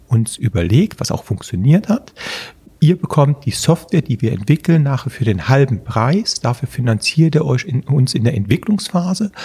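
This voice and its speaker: A man speaks at a medium pitch. His voice swings very widely up and down. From Germany, Eifel (Prüm, near Belgian border). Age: 50s. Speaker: tech investor and entrepreneur. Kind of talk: interview. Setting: office room.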